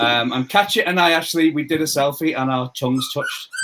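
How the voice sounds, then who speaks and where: A man with a Liverpool accent speaks at a fairly high pitch. There is noticeable background noise. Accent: Scouse. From northern England, Merseyside. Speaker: quiz contestant. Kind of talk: casual interview chat.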